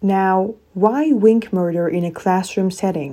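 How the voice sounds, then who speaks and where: The voice has a theatrical, dark, mellow tone with ordinary pitch variation, at a fairly slow pace. The recording is very clean, with a silent background. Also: woman. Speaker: podcast host. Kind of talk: dramatic scripted narration. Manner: theatrical, suspenseful, hushed intrigue.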